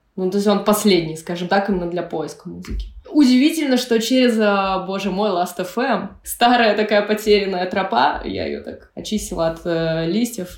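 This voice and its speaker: A woman with an unremarkable speaking voice talks at medium pitch and a moderate pace, with ordinary pitch variation. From Russia, Pskov region. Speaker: electronic musician. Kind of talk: casual chat.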